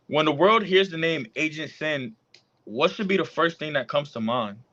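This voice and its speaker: With lively intonation, a man talks in an unremarkable speaking voice, fairly high in pitch, at a moderate pace. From US, Puerto Rican and Dominican family. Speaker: podcast host and rapper. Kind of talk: casual interview.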